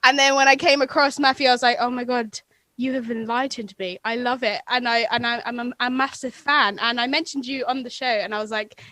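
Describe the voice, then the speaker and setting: A woman's high, bright and sharp voice with an American accent, at a fairly quick pace with hardly any pauses. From England. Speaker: podcaster, radio presenter and musician. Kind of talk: casual chat. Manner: animated, fast.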